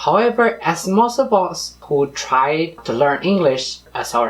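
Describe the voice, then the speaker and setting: With a Spanish accent, a man speaks at a high pitch, his voice swinging very widely. Noticeable background noise runs through the clip. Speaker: vlogger, former cruise ship crew member. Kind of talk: scripted vlog narration.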